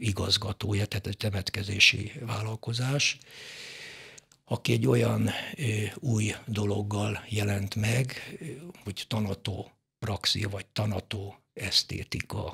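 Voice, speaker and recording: Against a quiet background, a man with fairly low pitch and a bright, sharp tone shows vocal fry, keeping a fairly even intonation at a very slow pace with long, frequent pauses. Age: 70s. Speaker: mortician; guest. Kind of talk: casual chat; interview answer. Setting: studio. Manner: halting. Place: studio. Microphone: studio mic.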